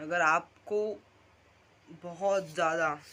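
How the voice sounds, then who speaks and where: A man speaks with ordinary pitch variation. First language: Marathi (speaking Hindi). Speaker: vlogger. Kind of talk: casual vlog monologue. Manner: halting, self-correcting.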